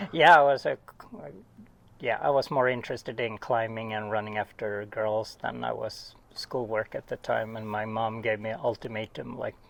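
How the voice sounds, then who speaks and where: With a Swedish accent, a man speaks at a medium pitch and with fairly even intonation. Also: moderate pace. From Sweden. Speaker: oceanographer. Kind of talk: casual interview. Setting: at home.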